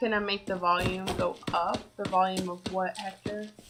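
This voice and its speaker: A soft-spoken woman talks at a medium pitch in a monotone, flat way. Noticeable background noise sits behind her. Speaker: gaming streamer. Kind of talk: live game stream commentary. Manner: soft-spoken, quiet. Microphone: too quiet, laptop mic moved closer.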